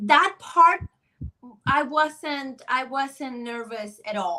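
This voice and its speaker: Using a raised, projected voice, a woman with a Spanish accent speaks very slowly at a high pitch with very wide pitch swings. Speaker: sideline reporter. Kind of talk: interview. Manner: halting.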